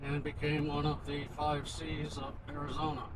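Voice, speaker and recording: In an American accent, a man talks with audible room echo and noticeable background noise. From Pittsburgh, Pennsylvania, US. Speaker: travel vlogger. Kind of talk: casual chat.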